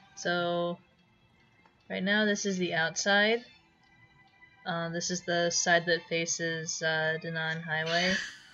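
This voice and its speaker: A woman with a fairly low pitch talks in a bored, flat monotone at a very slow pace. She leaves long, frequent pauses while music plays in the background. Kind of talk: unscripted game walkthrough talk. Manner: hesitant, stuttering; flat, bored-sounding.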